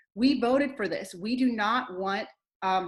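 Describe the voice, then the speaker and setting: A woman's passionate, somewhat breathy voice with ordinary pitch variation. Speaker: teacher and panel speaker. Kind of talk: political speech at online rally. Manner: fast; firm, passionate.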